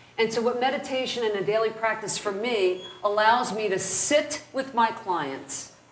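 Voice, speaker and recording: Audible room echo and noticeable background noise surround a woman whose fairly high voice carries lively intonation. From New Jersey (North Jersey). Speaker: criminal defense lawyer, trainer. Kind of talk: lecture.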